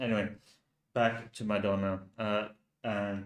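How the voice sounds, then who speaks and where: A man with a Finnish accent, fairly low pitch, monotone, flat intonation and a fairly slow pace. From Finland. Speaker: youtuber. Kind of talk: live stream commentary. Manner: halting.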